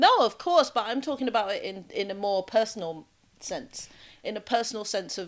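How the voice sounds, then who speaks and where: With a British accent, the speaker talks at a moderate pace using lively intonation and big swings in loudness. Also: woman, fairly high pitch for a woman. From Jamaica, then UK. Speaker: podcast host. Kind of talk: casual chat.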